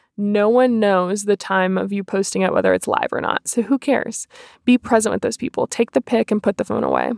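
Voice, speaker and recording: A woman at a fairly quick pace, with a dry, close sound and no echo. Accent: American. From North Carolina. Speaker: podcast host, health and lifestyle coach. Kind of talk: casual solo podcast talk. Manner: animated.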